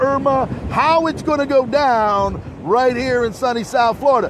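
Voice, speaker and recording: A man talks with an American accent over noticeable background noise. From New Jersey. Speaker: livestream host. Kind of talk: live street reporting. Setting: outdoors during hurricane. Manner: animated; loud.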